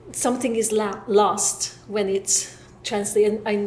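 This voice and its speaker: Very slow, monotone, flat speech with a Hungarian accent, audible room echo, and noticeable background noise. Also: woman. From Hungary. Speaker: professor. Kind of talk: panel discussion. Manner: halting.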